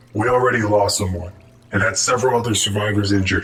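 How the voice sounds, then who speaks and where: In a put-on character voice, a man talks very fast, raspy and fairly low-pitched. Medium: machinima. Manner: serious, commanding.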